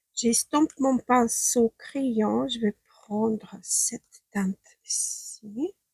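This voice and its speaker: The sound is dry and close, without any echo. A woman talks very slowly. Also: hardly any pauses. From Ukraine. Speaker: beauty stylist. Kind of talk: makeup tutorial talk to camera.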